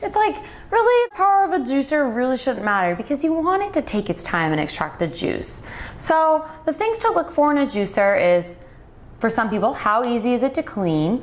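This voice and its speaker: A woman's high voice at a fairly quick pace, very wide pitch swings and very even loudness amid noticeable background noise. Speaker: nutritionist, product reviewer. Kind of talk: product review tutorial.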